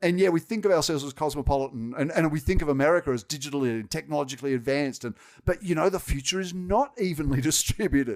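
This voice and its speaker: Talking at a very fast pace, a man speaks with a strong Australian accent. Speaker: technology executive. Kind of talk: podcast interview.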